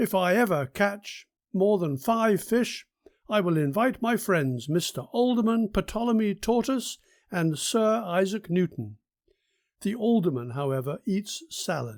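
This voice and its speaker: In a very clean recording with a silent background, a man uses a put-on character voice, pitched high and delivered at a fairly slow pace. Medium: read story. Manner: prim, polite.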